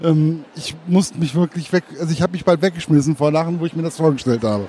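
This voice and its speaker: There is noticeable background noise behind this man. His pitch is fairly high and his intonation fairly even. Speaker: interviewer. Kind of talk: interview.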